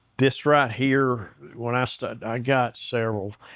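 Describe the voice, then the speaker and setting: Against a quiet background, a man with a Southern US accent speaks at a medium pitch. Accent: Southern US, noticeable. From US South. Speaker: woodworking YouTuber. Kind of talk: casual chat; tutorial. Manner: halting.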